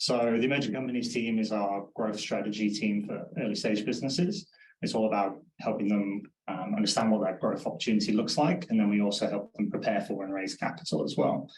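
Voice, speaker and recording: With a Manchester accent, a man speaks fairly quickly in a fairly low voice with ordinary pitch variation. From northern England, Manchester. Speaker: accountancy firm director. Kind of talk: panel discussion.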